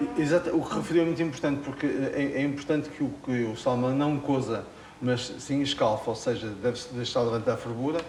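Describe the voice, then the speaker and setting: Very fast and fairly high in pitch, a man speaks with audible room echo and noticeable background noise. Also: ordinary pitch variation. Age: 80s+. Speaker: chef. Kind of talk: cooking demonstration. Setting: studio kitchen with cameras. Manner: hesitant, many fillers.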